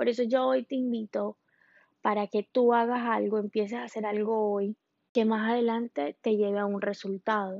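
Fairly slow speech from a woman with an unremarkable speaking voice, fairly high in pitch, with fairly even intonation. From Colombia. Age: 20s. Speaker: podcast host. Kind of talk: monologue podcast.

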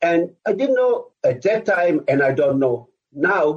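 Very slow, lively intonation in an Israeli accent. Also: man. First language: Hebrew. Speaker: former army officer. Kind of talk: interview. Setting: video call.

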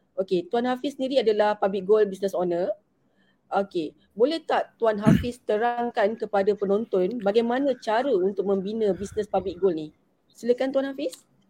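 Dry and close with no echo, a woman's fairly high-pitched voice carries a dark, mellow tone. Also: ordinary pitch variation, moderate pace. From Malaysia, Selangor. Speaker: webinar moderator, gold dealer. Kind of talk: online panel moderation.

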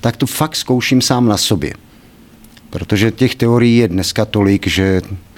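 A man speaks at a moderate pace and a medium pitch with ordinary pitch variation. It is a normal speaking voice. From Czechia, Kladno area. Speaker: personal development trainer. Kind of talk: interview.

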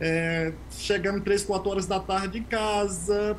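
This man's voice is high. Its pitch rises and falls normally. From Brazil, Bahia interior (sertão). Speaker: immunologist scientist. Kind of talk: interview. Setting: video call.

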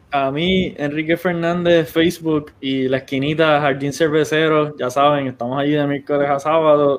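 A man with a fairly high pitch talks at a very fast pace with fairly even intonation. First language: Spanish. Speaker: podcast co-host. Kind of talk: casual chat.

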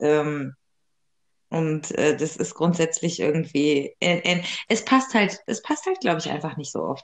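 Here is a woman with an ordinary speaking voice, fairly low in pitch. Her intonation is lively and her pace fairly slow. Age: 30s. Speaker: podcast co-host. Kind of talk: casual chat.

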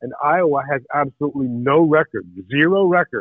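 A man speaks in an ordinary speaking voice at a fairly high pitch. He keeps a moderate pace with ordinary pitch variation. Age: 60s. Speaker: podcast correspondent and artist. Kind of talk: casual chat. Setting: phone call.

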